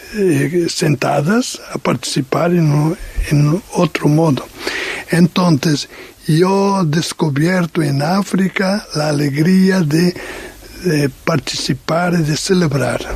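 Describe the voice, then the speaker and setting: Against noticeable background noise, a man with a high pitch speaks at a very slow pace, using ordinary pitch variation and long, frequent pauses. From Portugal. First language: Portuguese (speaking Spanish). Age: 60s. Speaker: missionary. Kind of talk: radio interview testimony. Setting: radio studio, late night. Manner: halting, many hesitations.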